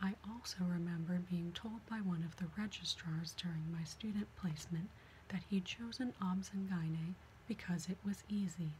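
A soft-spoken woman talks at a moderate pace with fairly low pitch and fairly even intonation, over light background noise. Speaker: reader of a medical memoir. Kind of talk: reading aloud from a book. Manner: soft, hushed ASMR reading voice. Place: home room. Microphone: webcam.

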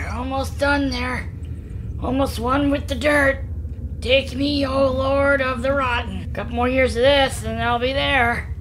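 The speech moves at a moderate pace over clear background noise. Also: man. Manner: dreamy, eerily calm.

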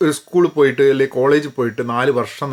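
Pitched in the medium range, the man speaks in a plain, everyday voice. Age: 50s. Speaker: career coach. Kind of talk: educational talk. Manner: code-switching Malayalam and English.

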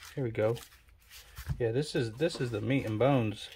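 A man speaks at a fairly quick pace. His tone is dark, mellow and somewhat breathy. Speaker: card game collector. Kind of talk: casual talk to camera.

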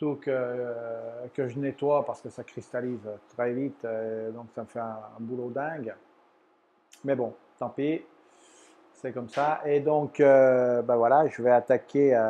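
A man speaks at a very slow pace with long, frequent pauses. His intonation is monotone and flat, with light background noise. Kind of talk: casual vlog chat. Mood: mildly resigned. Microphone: lapel.

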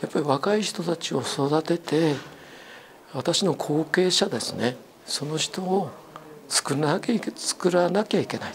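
A man's high voice at a fairly slow pace with ordinary pitch variation, over light background noise. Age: old. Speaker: retired teacher and amateur astronomy club president; retired teacher. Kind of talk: interview talk. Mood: calm, friendly. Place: home room. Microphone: lapel.

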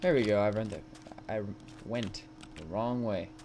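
A man's fairly low voice with a slightly mellow tone. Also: ordinary pitch variation, moderate pace.

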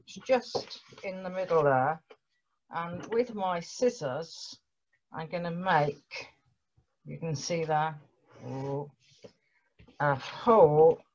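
A woman with a fairly low, somewhat breathy voice speaks very slowly, leaving long, frequent pauses as her loudness swings widely. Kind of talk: tutorial. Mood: gentle, patient. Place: home room. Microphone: webcam.

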